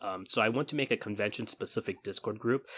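On a very clean recording with a silent background, a man with an American accent speaks in a medium pitch with ordinary pitch variation and a bright, sharp tone. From California. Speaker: convention vendor and panelist. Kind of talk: interview. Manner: halting, many fillers.

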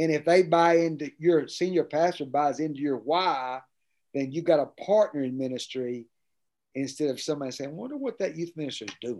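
A man's fairly high voice at a fairly quick pace, with ordinary pitch variation and a quiet background. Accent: East Tennessee. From Tennessee, US South. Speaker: pastor and student ministry expert. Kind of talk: interview conversation. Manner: energetic.

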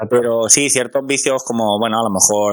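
This is a man talking. His pitch moves up and down in a normal way. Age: 30s. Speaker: podcast host and amateur musician. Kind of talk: interview. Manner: halting.

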